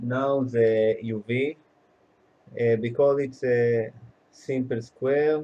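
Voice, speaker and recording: Speaking at a very slow pace with long, frequent pauses, a man with a medium pitch and a dark, mellow tone keeps a monotone, flat intonation. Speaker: programming tutor. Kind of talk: tutorial. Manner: halting, many fillers.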